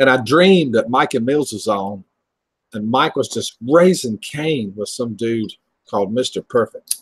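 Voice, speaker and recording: A medium-pitched man's fairly slow speech with lively intonation, dry and close with no echo. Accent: Southern US. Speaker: livestream host. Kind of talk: casual chat. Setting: livestream video call.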